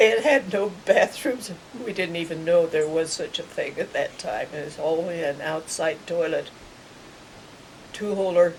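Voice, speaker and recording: The speaker has an American accent and a fairly slow pace. Loudness swings widely against noticeable background noise. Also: woman. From US Midwest, rural Kansas. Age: 80s+. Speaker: elderly woman recounting her life. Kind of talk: oral history interview.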